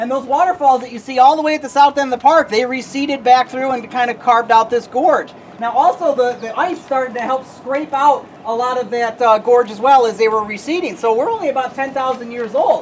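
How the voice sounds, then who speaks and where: Loud and high-pitched, a woman talks at a fairly quick pace with hardly any pauses and ordinary pitch variation, over noticeable background noise. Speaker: tour guide. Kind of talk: guided tour talk. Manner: animated.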